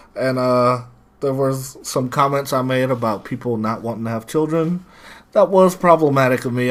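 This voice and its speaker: A man mumbling at a moderate pace. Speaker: podcast co-host. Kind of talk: casual chat.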